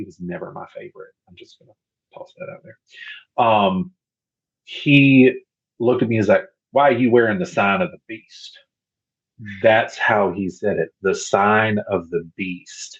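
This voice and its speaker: With an American accent, the speaker goes at a fairly slow pace, leaving long, frequent pauses, and the loudness swings widely. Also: man. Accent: Southern US accent, fades in academic talk. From US South. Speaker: podcast guest, pagan. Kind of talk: casual interview chat. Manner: rambling, conversational.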